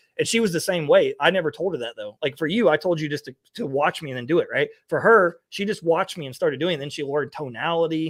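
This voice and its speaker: A man with an American accent talks very fast in a fairly high voice, with hardly any pauses and ordinary pitch variation. His loudness swings widely, and the recording is very clean and dry, with a silent background and no echo. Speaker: online business coach. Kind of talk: casual chat. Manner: animated.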